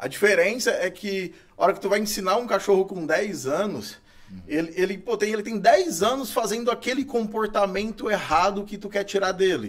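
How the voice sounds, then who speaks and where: At a moderate pace and with ordinary pitch variation, the speech comes through noticeable background noise. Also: man, high pitch for a man. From Brazil, Goiás (Itumbiara). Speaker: dog trainer. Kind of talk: casual interview chat. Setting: studio. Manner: hesitant, filler-heavy.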